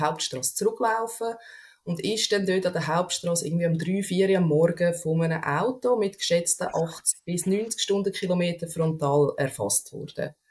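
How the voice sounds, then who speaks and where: The woman speaks at a moderate pace and a fairly low pitch. Her voice is somewhat breathy. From Switzerland, canton Aargau. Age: 30s. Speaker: podcast guest. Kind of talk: casual interview conversation.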